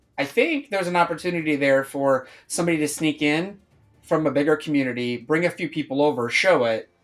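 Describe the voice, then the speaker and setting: With music in the background, a man speaks at a very fast pace and a fairly high pitch, with ordinary pitch variation. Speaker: crypto project streamer. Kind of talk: casual live stream chat. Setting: live stream. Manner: hesitant, repeats words.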